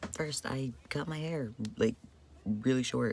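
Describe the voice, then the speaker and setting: A man speaks somewhat breathily at a fairly slow pace with ordinary pitch variation. The recording is very clean, with a silent background. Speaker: vlogger. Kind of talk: casual vlog update. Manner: casual, filler-heavy.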